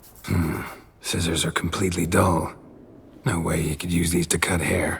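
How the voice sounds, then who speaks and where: A man puts on a raspy character voice, very deep and low in pitch. He speaks at a moderate pace with monotone, flat intonation. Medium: voice reel. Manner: terse, deadpan.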